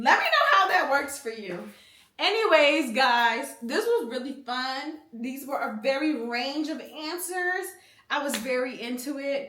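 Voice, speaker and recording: With an American accent, a woman speaks in a raised, projected voice at a high pitch and a fairly slow pace. Her tone is animated and her intonation lively, with audible room echo around her. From US, Philadelphia. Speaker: youtuber giving life advice. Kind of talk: casual advice Q&A.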